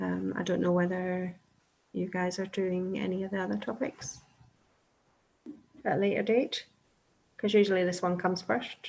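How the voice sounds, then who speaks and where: A woman's medium-pitched voice at a moderate pace, fairly even in intonation, with long, frequent pauses. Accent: Scottish. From Scotland. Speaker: respiratory nurse practitioner. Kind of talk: webinar Q&A. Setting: online webinar.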